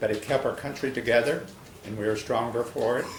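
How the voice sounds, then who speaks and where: Over noticeable background noise and audible room echo, a man talks at a medium pitch with fairly even intonation. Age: 70s. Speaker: public commenter at city meeting. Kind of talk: public comment speech. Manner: halting.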